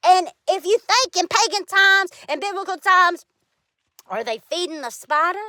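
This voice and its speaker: A woman's raised, projected voice, extremely high in pitch, bright and sharp in tone, with lively intonation at a moderate pace in a dry, close sound with no echo. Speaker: vlogger. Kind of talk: personal monologue.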